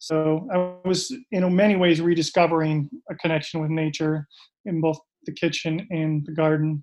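Someone with an Upper Midwest accent speaks at a moderate pace with fairly even intonation. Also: man, fairly high pitch for a man. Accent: Upper Midwest American. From Minnesota, Minneapolis suburbs. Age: 40s. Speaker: personal chef and gardener. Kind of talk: casual interview.

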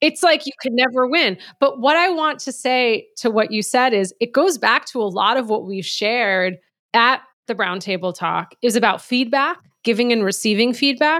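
A woman speaks at a high pitch with a bright, sharp tone. Her intonation is lively and her pace moderate. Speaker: podcast co-host and business leader. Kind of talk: casual conversation podcast. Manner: somewhat quiet, works on projecting volume.

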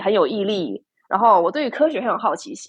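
A woman speaks in an unremarkable speaking voice at a moderate pace with lively intonation. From Taiwan. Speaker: PhD student. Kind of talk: casual interview chat.

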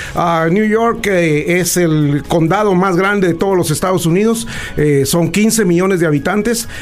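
The speech moves at a fairly slow pace with very even loudness and ordinary pitch variation, over noticeable background noise and audible room echo. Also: man, high pitch for a man. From Guatemala. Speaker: political commentator. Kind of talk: interview.

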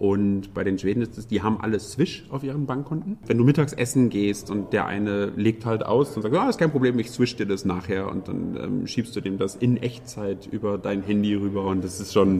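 A man speaks at a moderate pace in a fairly low voice, with ordinary pitch variation and hardly any pauses. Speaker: IT professional, emigrant to Sweden. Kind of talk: interview. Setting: room in Stockholm.

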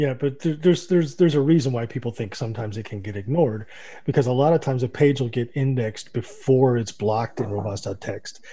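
This man talks at a very fast pace with lively intonation and a medium pitch. His tone is dark and mellow, and somewhat breathy. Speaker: radio co-host. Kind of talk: casual chat about SEO news, radio show.

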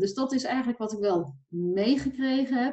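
A woman with a fairly high pitch and lively intonation speaks at a moderate pace, sounding somewhat breathy. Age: 40s. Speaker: financial coach for entrepreneurs. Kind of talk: casual interview.

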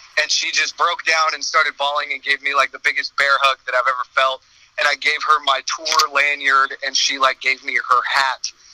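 There is noticeable background noise as a man speaks at a moderate pace in a dry, close sound with no echo. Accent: American. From US West Coast, San Francisco Bay Area. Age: 20s. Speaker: metal vocalist. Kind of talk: interview.

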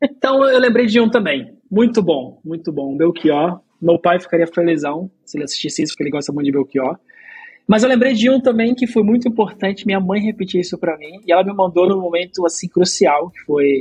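Here a man speaks with lively intonation. His pitch is high. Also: fairly quick pace, big swings in loudness. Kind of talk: casual chat.

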